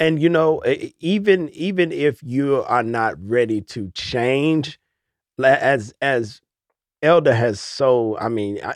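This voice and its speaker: The background is quiet as a man speaks at a medium pitch. It is an unremarkable speaking voice, with lively intonation. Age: 40s. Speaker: minister and podcast co-host. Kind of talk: casual faith discussion.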